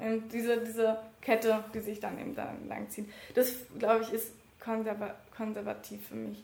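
Over music in the background and audible room echo, a woman talks at a moderate pace with long, frequent pauses. Her fairly high voice stays monotone, its intonation flat. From Berlin (Wedding). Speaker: trainee teacher and election candidate. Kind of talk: interview. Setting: office. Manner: halting.

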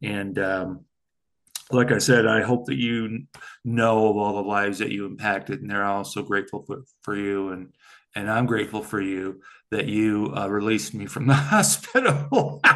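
Against a quiet background, a man with a fairly low pitch talks at a moderate pace in an ordinary speaking voice with ordinary pitch variation. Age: 60s. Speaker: podcast host. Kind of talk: casual interview chat.

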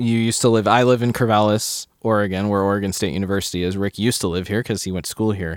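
A man speaks very fast in a fairly low voice, with fairly even intonation and hardly any pauses. The recording is very clean, with a silent background. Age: 30s. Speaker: podcast guest, friend of host. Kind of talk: casual chat.

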